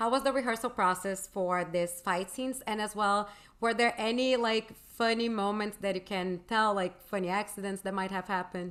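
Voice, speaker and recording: A woman with a Portuguese accent, medium pitch, fairly even intonation and hardly any pauses. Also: moderate pace. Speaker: interviewer. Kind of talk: interview. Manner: halting.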